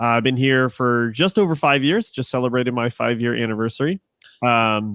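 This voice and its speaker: A man's plain, everyday voice at a medium pitch with an American accent, ordinary pitch variation and a fairly quick pace. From Ohio. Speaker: resort sales manager, podcaster. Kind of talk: casual chat.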